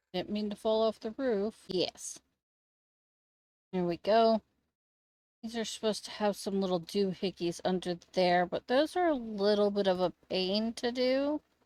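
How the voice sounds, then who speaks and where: Quiet and at a medium pitch, a woman speaks at a fairly slow pace with ordinary pitch variation and long, frequent pauses, in a dry, close sound with no echo. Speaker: Sims gaming YouTuber. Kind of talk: casual gameplay commentary.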